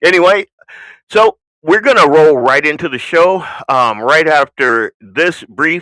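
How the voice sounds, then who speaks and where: A man with an American accent speaks fairly slowly at a fairly high pitch, with vocal fry and a bright, sharp tone. The sound is dry and close, with no echo. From US South. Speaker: radio host. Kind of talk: casual talk show monologue. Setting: home studio.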